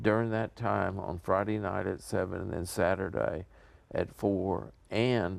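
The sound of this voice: A man with a low pitch and vocal fry talks at a slow pace, with long, frequent pauses.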